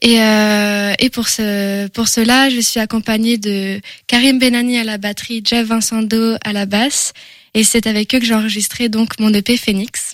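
Speaking fairly slowly, a woman keeps a monotone, flat intonation at a fairly high pitch. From France, Angers. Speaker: singer-songwriter. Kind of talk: radio interview. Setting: studio.

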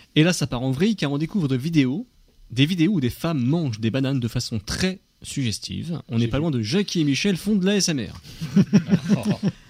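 This man's voice is fairly high and somewhat breathy, with lively intonation. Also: moderate pace. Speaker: radio host. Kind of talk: radio chat.

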